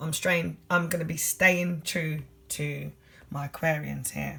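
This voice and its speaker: A speaker with a London accent talks over noticeable background noise. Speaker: tarot reader. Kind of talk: tarot reading monologue. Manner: fast.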